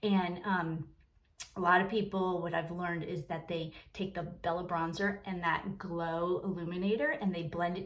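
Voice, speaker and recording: Over noticeable background noise, a woman speaks in a fairly low voice with fairly even intonation. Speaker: makeup seller and vlogger. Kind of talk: makeup tutorial. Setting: sitting in her bathroom. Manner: soft-spoken; casual, filler-heavy.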